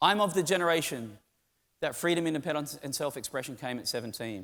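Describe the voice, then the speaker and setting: Fairly quick and animated, the voice has a bright, sharp tone and lively intonation. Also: man, very clean recording, silent background. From Australia. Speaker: tech conference speaker. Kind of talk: keynote talk. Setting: stage with audience.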